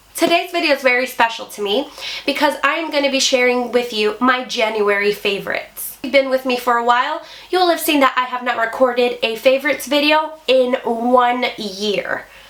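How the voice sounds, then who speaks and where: Fairly quick speech from a woman, high-pitched with ordinary pitch variation, noticeable background noise present. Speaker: beauty YouTuber. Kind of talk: product review. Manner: chatty.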